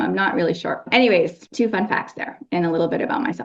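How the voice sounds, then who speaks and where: Lively intonation marks a woman's speech at a fairly quick pace. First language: Cambodian. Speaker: lawyer. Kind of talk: podcast interview.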